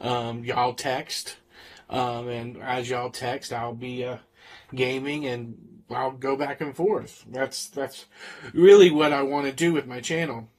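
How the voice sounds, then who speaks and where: A man talks with a Southern US accent. His pitch is medium and his intonation fairly even. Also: fairly slow pace. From US South, Florida. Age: 40s. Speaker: streamer and high school teacher. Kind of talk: casual live-stream chat. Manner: hesitant, many fillers.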